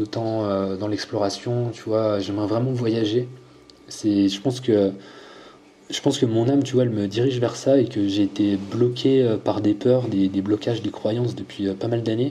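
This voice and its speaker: Here a man talks at a fairly slow pace. His pitch is medium and his intonation fairly even. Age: 30s. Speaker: fitness coach and YouTuber. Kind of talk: casual interview.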